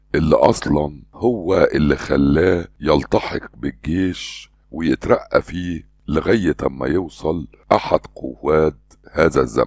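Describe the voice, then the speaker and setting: A man with an Egyptian accent talks very slowly in a very deep, low voice with vocal fry and ordinary pitch variation. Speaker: voice-over artist and trainer. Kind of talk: historical fact narration.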